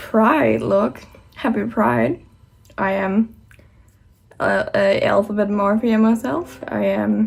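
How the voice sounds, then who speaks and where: A woman is speaking. She has a non-native accent. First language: not English. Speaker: makeup youtuber. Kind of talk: tutorial. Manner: halting; casual.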